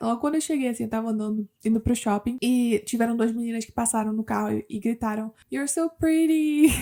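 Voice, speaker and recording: Delivery is fairly quick, and the pitch varies in an ordinary way. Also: woman. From Brazil, Curitiba. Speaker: immigrant vlogger. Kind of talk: casual vlog monologue. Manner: conversational, animated.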